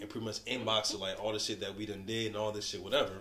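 Over noticeable background noise and audible room echo, a man with an American accent speaks in a fairly low, monotone, flat voice. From Buffalo area, New York. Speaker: podcast host. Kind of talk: casual chat.

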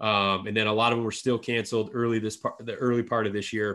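The speaker has an Upper Midwest accent. The recording is very clean, with a silent background. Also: man. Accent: Upper Midwest American. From northern lower Michigan, rural. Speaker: podcast host and apparel brand founder. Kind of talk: casual chat.

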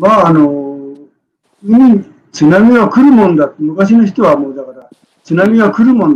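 This voice shows big swings in loudness and very wide pitch swings. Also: man, high pitch for a man, moderate pace. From Tokyo. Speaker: retired newspaper reporter. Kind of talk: interview conversation.

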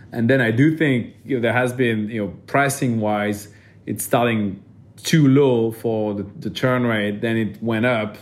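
A man with a French accent speaks at a moderate pace and medium pitch, his intonation fairly even, with audible room echo. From France. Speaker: venture capital investor. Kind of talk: interview.

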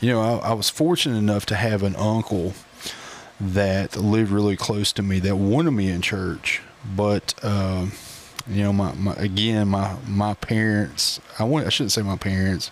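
With an Appalachian accent, a man speaks at a moderate pace and a fairly low pitch, with ordinary pitch variation and very even loudness, over noticeable background noise. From Appalachian Virginia, Grundy. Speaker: associate pastor. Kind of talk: casual chat.

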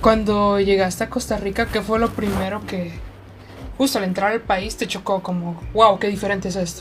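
A woman's medium-pitched voice in a monotone, flat delivery. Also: moderate pace. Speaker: podcast co-host. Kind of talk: casual chat.

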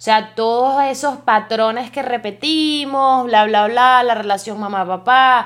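A woman speaks in an animated tone at a fairly slow pace. Her pitch sits fairly high. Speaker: podcaster. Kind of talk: casual monologue.

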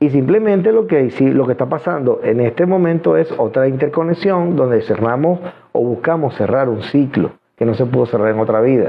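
Over music in the background, a fairly high-pitched man talks at a fairly quick pace, with very wide pitch swings and very even loudness. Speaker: hypnotherapist and esoteric livestream host. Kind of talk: live stream Q&A monologue. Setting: live stream from home studio.

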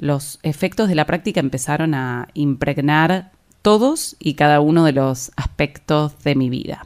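This woman has a very deep, low voice and an Argentine accent. She speaks at a fairly slow pace. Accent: Rioplatense Argentine Spanish. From Argentina, La Plata. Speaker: yoga teacher and podcast host. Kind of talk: personal storytelling monologue.

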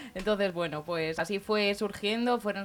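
A woman with an unremarkable speaking voice talks at a moderate pace with fairly even intonation. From Spain. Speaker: singer. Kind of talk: interview. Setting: radio studio.

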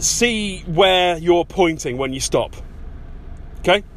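Very slowly and with lively intonation, a man with an English accent speaks at a high pitch. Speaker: podcast host, self-improvement coach. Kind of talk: casual monologue. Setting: in a car. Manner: chatty with many ums and uhs.

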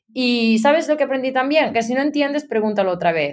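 Lively intonation from a woman talking at a very fast speed. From Galicia, Spain (A Coruña province). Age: 30s. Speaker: marketing executive. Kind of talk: interview.

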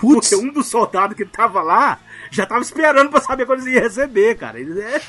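Over noticeable background noise, a man speaks in a raised, projected voice at a fairly quick pace. His intonation is lively. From Minas Gerais, Brazil. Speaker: listener guest, travel channel creator. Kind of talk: casual chat, storytelling.

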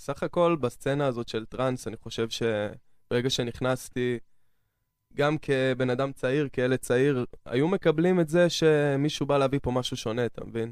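The recording is very clean, with a silent background. It carries a plain, everyday voice at a moderate pace, with ordinary pitch variation. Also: man. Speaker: trance music producer and DJ. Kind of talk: radio interview. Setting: studio.

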